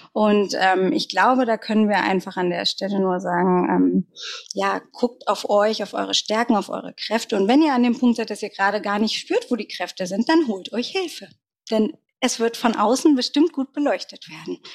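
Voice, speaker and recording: Dry and close with no echo, a woman with a fairly high pitch and ordinary pitch variation speaks at a moderate pace. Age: 40s. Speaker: brand consultant, coaching client. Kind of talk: interview.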